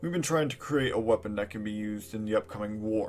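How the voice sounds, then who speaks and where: With a put-on character voice, a man rattles along at a very fast pace in a medium pitch. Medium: audio drama.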